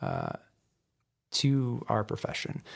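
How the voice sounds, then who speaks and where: At medium pitch, a man talks with an American accent. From Southeast Michigan. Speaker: criminal defense lawyer and bar association president. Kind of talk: interview. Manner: hesitant, many fillers and repeated words.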